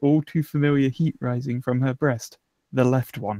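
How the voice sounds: A natural reading voice, fairly even intonation, and a quiet background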